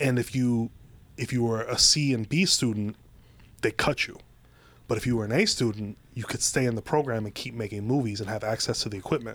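An American accent marks this man's plain, everyday voice. He speaks at a fairly quick pace with fairly even intonation. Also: medium pitch for a man. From Ohio. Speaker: screenwriter and TV writer. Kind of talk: casual chat. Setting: studio.

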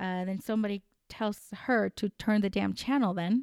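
A woman with a Spanish accent and a fairly high pitch, animated in tone, dry and close with no echo, on a very clean recording with a silent background. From Colombia. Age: 30s. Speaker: podcast host. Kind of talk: unscripted solo commentary. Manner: halting, many fillers.

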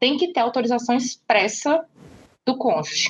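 The speaker is a woman with a fairly high pitch. She talks at a moderate pace. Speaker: lawyer and feminist podcaster. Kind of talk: interview.

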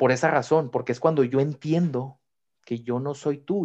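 In a quiet setting, a man speaks moderately paced with fairly even intonation. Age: 20s. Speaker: psychologist. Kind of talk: interview.

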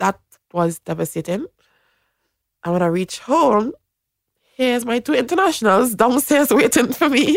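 A woman's high-pitched, animated voice with very wide pitch swings, a moderate pace, long and frequent pauses, and a dry, close sound free of echo. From Trinidad and Tobago. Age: 20s. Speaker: professional netball player. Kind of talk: casual interview. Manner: animated, frequent laughter.

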